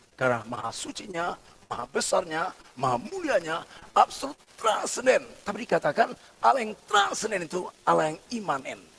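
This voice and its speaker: His pitch is high for a man and swings very widely, with big swings in loudness too. Noticeable background noise is present. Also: fairly quick pace. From Batak, North Sumatra, Indonesia. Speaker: pastor. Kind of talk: sermon. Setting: church service, also streamed on Zoom.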